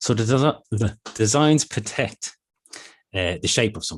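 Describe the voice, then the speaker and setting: Against a quiet background, a man with an Irish accent speaks. His voice is somewhat breathy, with ordinary pitch variation. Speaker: intellectual property office presenter. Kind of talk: business seminar presentation. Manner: fast.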